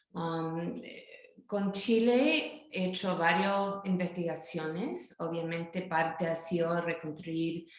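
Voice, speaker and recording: A woman at a very slow pace, fairly low in pitch with ordinary pitch variation, in audible room echo. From northern California, US. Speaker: academic author. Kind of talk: interview. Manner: halting.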